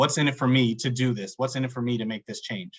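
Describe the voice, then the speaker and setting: Moving at a fairly quick pace, a man with a New York accent speaks at a medium pitch with fairly even intonation. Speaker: supply chain podcast host. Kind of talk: interview. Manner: fast.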